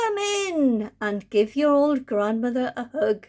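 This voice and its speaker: Husky and unhurried, this put-on character voice moves at a fairly slow pace. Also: woman, high pitch for a woman. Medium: read story. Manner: falsely sweet, coaxing.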